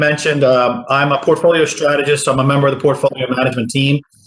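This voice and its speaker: Somewhat breathy and fairly high-pitched, a man with an American accent speaks in a monotone, flat intonation. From Philadelphia, US East Coast. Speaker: portfolio strategist. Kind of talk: business presentation at public meeting.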